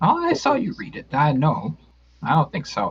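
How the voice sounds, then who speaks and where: A man puts on a character voice with a fairly high pitch. He keeps a moderate pace. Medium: actual play. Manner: broken English, speaks of herself by name.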